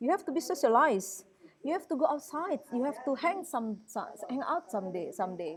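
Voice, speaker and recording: A woman with a West Sumatran accent speaks at a high pitch and a fairly quick pace. Her pitch swings very widely. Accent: Indonesian (Minangkabau). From Indonesia, West Sumatra (Padang, Minangkabau). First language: Minangkabau. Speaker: university lecturer. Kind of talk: lecture. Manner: halting, with many fillers.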